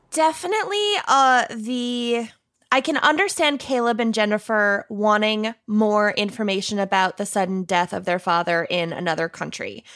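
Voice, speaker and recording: Her voice is fairly high, in a Minnesotan accent. The woman keeps a moderate pace and lively intonation. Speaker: true crime podcast co-host, guest. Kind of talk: casual chat.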